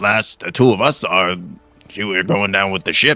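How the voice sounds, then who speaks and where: A man puts on a raspy character voice pitched fairly low. Faint music plays in the background. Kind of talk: pirate speech. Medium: actual play. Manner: suspicious, questioning.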